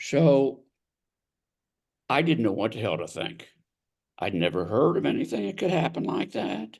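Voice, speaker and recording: Here a man talks with an American accent. His pace is fairly slow, with vocal fry. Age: 70s. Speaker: author and mental health advocate. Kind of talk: interview testimony.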